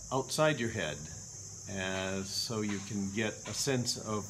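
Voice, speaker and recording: Noticeable background noise sits under this voice with a Midwestern accent. Its pitch varies in an ordinary way. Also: man. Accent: American Midwestern. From Milwaukee, Wisconsin. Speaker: English pronunciation teacher. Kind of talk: language lesson drill. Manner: slow, clear. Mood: friendly, smiling. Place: home room. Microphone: webcam.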